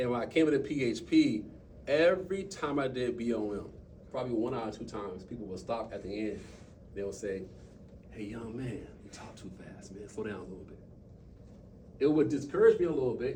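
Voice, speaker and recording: Over noticeable background noise and audible room echo, a man talks at a fairly quick pace with big swings in loudness. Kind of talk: motivational talk to a team. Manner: fast; animated.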